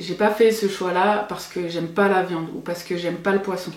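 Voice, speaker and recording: Speaking at a moderate pace and medium pitch, a woman keeps a monotone, flat intonation amid audible room echo. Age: 30s. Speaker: cooking youtuber. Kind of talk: vlog monologue.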